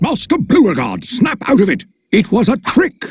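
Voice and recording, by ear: A man speaks at a moderate pace in a cartoonish character voice with a high pitch.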